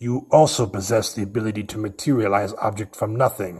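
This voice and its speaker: At a moderate pace, a man puts on a character voice with a fairly low pitch. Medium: audio drama. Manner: cold, measured, condescending.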